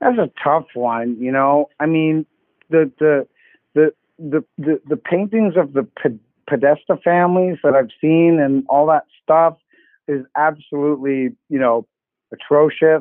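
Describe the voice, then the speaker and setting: A man with a Canadian accent has a normal speaking voice at a fairly high pitch, talking at a fairly slow pace with ordinary pitch variation. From Canada. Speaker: caller. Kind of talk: call-in show.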